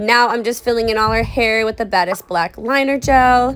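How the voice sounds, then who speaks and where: Background music is audible throughout. Over it, a woman keeps a moderate pace. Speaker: nail artist and product seller. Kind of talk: tutorial voice-over.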